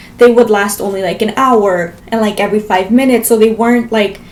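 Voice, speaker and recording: An American-accented woman speaks fairly quickly and fairly high in a monotone, flat intonation. Noticeable noise fills the background. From Las Vegas, US. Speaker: vlogger. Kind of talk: storytelling vlog.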